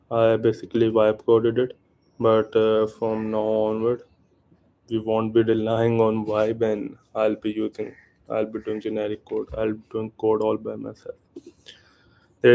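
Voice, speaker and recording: This man speaks in an Indian accent at a medium pitch. His tone is dark and mellow, and his pace moderate. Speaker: programmer. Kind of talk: live coding stream.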